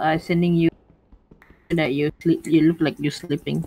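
A woman with a fairly low pitch speaks at a moderate pace in a plain, everyday voice. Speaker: online gaming friend. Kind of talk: casual gameplay chat. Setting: voice chat online.

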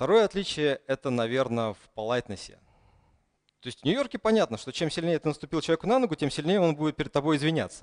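A man with a Russian accent talks at a very fast pace in a fairly high pitch. His pitch swings very widely against a quiet background. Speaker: conference speaker. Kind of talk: conference talk. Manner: hesitant with fillers. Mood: humorous storytelling. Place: hall.

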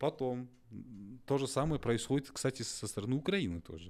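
This man talks at a moderate pace. His pitch variation is ordinary. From Kazakhstan. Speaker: interviewer. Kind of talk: interview. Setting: studio. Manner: halting. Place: studio. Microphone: studio mic.

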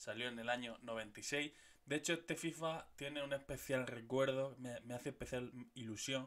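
With a Murcian accent, a man speaks at a moderate pace with fairly even intonation. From Murcia, Spain; Spain. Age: 30s. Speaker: gaming youtuber. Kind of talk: casual video monologue. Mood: nostalgic, joking. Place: home room. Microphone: studio mic.

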